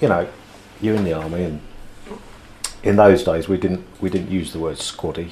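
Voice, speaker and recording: With a British accent, a man speaks in a very deep, low voice at a moderate pace, leaving long, frequent pauses. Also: fairly even intonation. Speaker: former soldier, martial arts instructor. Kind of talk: casual chat. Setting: studio.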